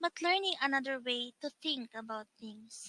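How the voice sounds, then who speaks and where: Bright and sharp in tone, a woman speaks at a high pitch and a fairly slow pace. The sound is dry and close, with no echo. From Philippines. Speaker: online English tutor. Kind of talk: self-introduction to camera.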